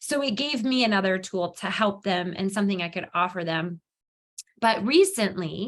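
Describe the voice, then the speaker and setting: This woman has an ordinary speaking voice at medium pitch, speaking at a moderate pace with ordinary pitch variation. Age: 40s. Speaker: yoga studio owner and health coach. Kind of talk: testimony. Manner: casual, many filler words.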